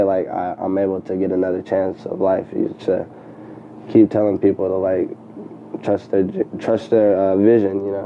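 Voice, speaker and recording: A man with an American accent speaks at a moderate pace in a fairly low, monotone voice with flat intonation, over noticeable background noise. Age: 20s. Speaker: entrepreneur, clothing designer and photographer. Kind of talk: casual interview chat.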